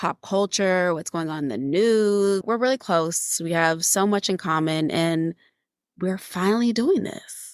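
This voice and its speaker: In an American accent, a woman with an ordinary speaking voice talks at medium pitch and a fairly slow pace, with ordinary pitch variation, in a very clean recording with a silent background. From Houston, Texas. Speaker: podcast co-host. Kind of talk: casual chat.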